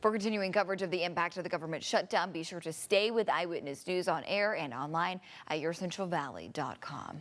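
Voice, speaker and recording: A woman with an American accent talks at a very fast pace, with hardly any pauses. Her pitch is fairly low, with ordinary variation. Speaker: TV news anchor and reporter. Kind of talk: TV news anchor read.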